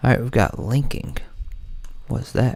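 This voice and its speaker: A man speaks in a relaxed tone, soft-spoken throughout. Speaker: music producer and livestream host. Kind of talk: live stream tutorial chat. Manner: casual, relaxed.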